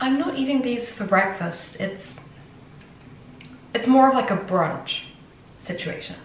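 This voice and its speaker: A woman with a high pitch and lively intonation speaks at a fairly slow pace, leaving long, frequent pauses. Audible room echo and light background noise are present. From Hertfordshire, England. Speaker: student. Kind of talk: casual vlog talk to camera. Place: kitchen.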